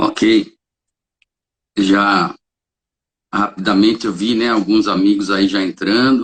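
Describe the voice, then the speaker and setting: A man's fairly low, monotone, flat delivery at a very slow pace, with long, frequent pauses. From São Paulo state, Brazil (Caieiras). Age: 60s. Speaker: holistic therapist and reiki practitioner. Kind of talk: interview. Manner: hesitant, with frequent fillers.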